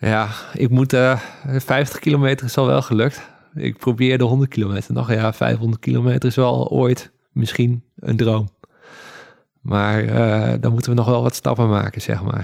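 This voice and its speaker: A man speaks at a fairly slow pace and medium pitch with ordinary pitch variation. His loudness stays very even. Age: 30s. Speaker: paragliding instructor. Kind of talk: interview. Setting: at home in living room. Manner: halting.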